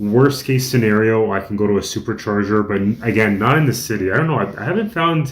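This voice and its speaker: This man talks at a fairly quick pace with hardly any pauses and ordinary pitch variation. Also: medium pitch for a man. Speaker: vlogger. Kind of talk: casual vlog.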